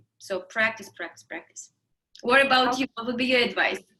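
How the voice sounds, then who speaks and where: A woman with a Russian accent speaks in a bright, sharp tone. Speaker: interview host. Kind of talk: casual interview.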